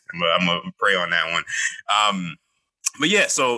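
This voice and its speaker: An animated voice with vocal fry, very wide pitch swings and a fairly quick pace, dry and close with no echo. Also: man. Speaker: podcast co-host. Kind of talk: casual chat.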